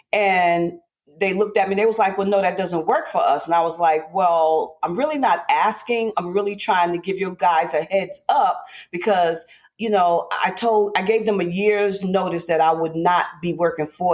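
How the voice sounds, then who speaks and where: Moderate pace and medium pitch from a woman, an unremarkable speaking voice with ordinary pitch variation. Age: 60s. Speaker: host's mother, former office worker. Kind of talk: personal storytelling.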